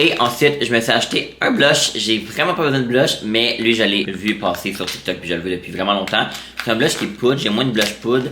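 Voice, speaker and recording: With a Quebec accent and ordinary pitch variation, a man speaks amid noticeable background noise and audible room echo. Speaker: vlogger. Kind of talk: casual vlog talk. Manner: fast.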